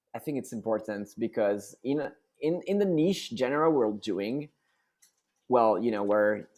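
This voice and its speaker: In a French accent, a man speaks with ordinary pitch variation on a very clean recording with a silent background. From France. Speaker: rock band singer. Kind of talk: interview. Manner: halting, many repetitions and fillers.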